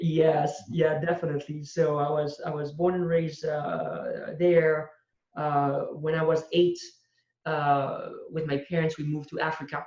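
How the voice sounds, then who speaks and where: Here a man talks at a fairly high pitch and a fairly slow pace. His intonation is monotone and flat. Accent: French. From southern France (Marseille, Corsican family). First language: French. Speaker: entrepreneur. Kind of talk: interview. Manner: halting, many fillers.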